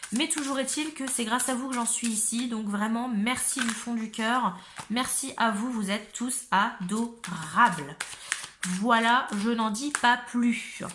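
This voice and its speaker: A woman's fairly high voice at a very slow pace, with ordinary pitch variation and noticeable background noise. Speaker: tarot reader. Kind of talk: tarot reading; casual chat.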